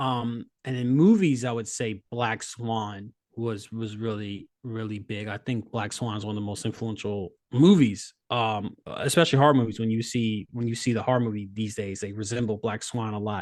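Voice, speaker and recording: A man's medium-pitched voice with an American accent, moderate pace, fairly even intonation and hardly any pauses, against a quiet background. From Virginia, US. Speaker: comic book writer. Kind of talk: interview. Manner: halting, repeats words.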